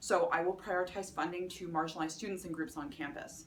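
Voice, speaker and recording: Over noticeable background noise, a woman with a Canadian accent speaks at a fairly low pitch. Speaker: student election candidate. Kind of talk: campaign speech. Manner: fast; many filler words and restarts.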